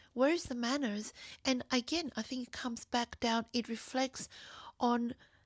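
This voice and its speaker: Fairly slow, fairly even speech with a non-native accent, in a very clean, silent recording with a dry, close sound and no echo. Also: woman. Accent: non-native accent, self-noted. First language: not English (bilingual). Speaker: video journal vlogger. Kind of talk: personal monologue.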